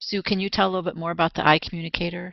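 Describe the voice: A woman speaks at a very fast pace in a fairly low voice with vocal fry and little pitch movement, the sound dry and close with no echo.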